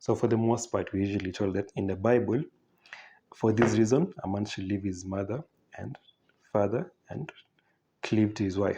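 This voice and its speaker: A man's dark, mellow tone at a moderate pace, broken by long, frequent pauses. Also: ordinary pitch variation. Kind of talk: informal talk with read-out quotes. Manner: hesitant, with fillers and restarts.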